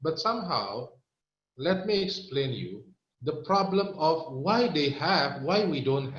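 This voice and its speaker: With an Indonesian accent, a man speaks at a fairly slow pace and a fairly high pitch, showing vocal fry. Room echo can be heard in the recording. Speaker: health product presenter. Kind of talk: product training talk. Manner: halting.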